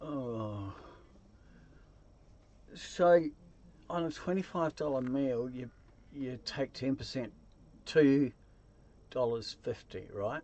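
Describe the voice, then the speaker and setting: A man speaks with a New Zealand accent at a medium pitch and ordinary pitch variation. His pace is very slow, with long, frequent pauses. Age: 60s. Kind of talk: casual talk to camera.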